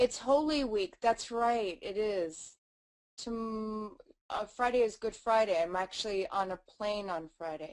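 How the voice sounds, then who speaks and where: A woman with an American accent speaks at a fairly slow pace and a fairly high pitch, with ordinary pitch variation. The background is quiet. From United States. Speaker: webinar host. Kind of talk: live webinar chat. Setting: live webinar on camera. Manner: animated.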